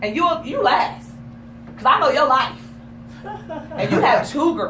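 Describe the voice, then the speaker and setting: A woman speaks in an animated tone at a moderate pace, with audible room echo and noticeable background noise. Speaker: talk show host. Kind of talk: casual chat. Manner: loud.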